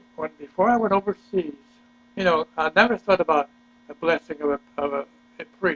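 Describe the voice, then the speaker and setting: The recording is dry and close with no echo but noticeable background noise, as a man speaks at a high pitch with ordinary pitch variation. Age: 90s. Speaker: war veteran. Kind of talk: family interview. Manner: halting.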